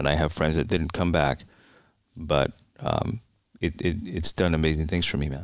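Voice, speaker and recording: Using long, frequent pauses, a man with an American accent speaks at a moderate pace in a very deep, low pitch with vocal fry and ordinary pitch variation. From New York City, the Bronx. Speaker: retired police officer and Marine veteran. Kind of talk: interview conversation.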